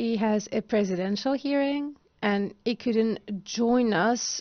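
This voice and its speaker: Against a quiet background, a woman with an ordinary speaking voice talks fairly slowly at a fairly high pitch, her intonation fairly even. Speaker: panel moderator. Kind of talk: conference panel moderation. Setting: stage with audience. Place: stage. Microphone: handheld.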